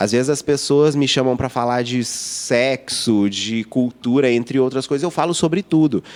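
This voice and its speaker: At a moderate pace and with hardly any pauses, a man talks in a medium pitch with ordinary pitch variation over noticeable background noise. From Minas Gerais, Brazil (Lavras). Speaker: youtuber and advertising professional. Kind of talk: podcast interview. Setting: in-person podcast studio.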